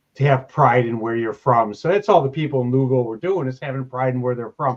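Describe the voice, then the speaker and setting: This man speaks very fast with an American accent. His pitch is medium, with ordinary variation. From Chicago. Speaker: podcast host. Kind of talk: casual chat.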